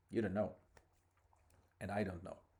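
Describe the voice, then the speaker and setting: A man with a non-native accent, a fairly low pitch, a dark, mellow tone and a somewhat breathy quality. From abroad, outside Ireland. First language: not English. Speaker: podcaster. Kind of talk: casual monologue. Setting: in a car.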